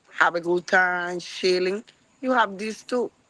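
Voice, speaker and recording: Lively in intonation and bright, sharp in tone, a woman speaks at a moderate pace. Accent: Spanish. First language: Spanish. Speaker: chef. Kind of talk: casual chat. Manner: halting.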